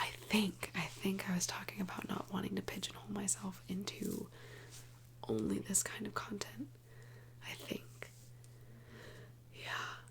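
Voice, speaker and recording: A soft-spoken woman with long, frequent pauses. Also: fairly slow pace. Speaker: ASMR creator. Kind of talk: soft-spoken ASMR ramble to camera. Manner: soft-spoken, casual, rambling.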